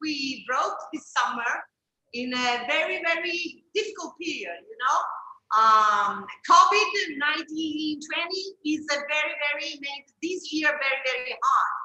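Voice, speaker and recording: A bright, sharp, raised and projected voice in an Italian accent at a fairly slow pace. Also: woman. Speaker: chef. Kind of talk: book presentation talk. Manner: halting.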